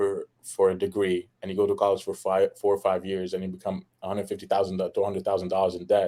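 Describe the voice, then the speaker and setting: A man talks at a very fast pace. He has an Arabic accent. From Egypt. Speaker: fitness and life insurance entrepreneur. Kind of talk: podcast interview. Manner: animated.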